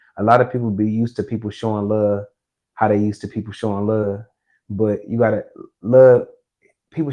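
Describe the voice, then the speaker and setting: A man's medium-pitched, monotone voice at a fairly quick pace, broken by long, frequent pauses. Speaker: podcast guest, shooting survivor. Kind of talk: casual interview conversation.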